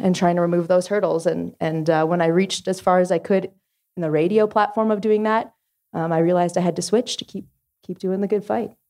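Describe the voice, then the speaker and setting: Speaking fairly quickly with a Canadian accent, a woman uses a plain, everyday voice at a medium pitch with fairly even intonation. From Ottawa Valley, Ontario, Canada. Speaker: music industry executive. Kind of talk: panel discussion. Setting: stage with live audience.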